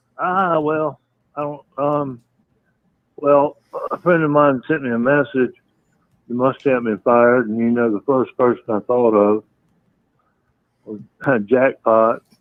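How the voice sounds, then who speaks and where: A man with a Southern US accent and a medium-pitched voice speaks at a fairly slow pace, leaving long, frequent pauses. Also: ordinary pitch variation. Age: 60s. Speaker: caller. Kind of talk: call-in chat. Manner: halting.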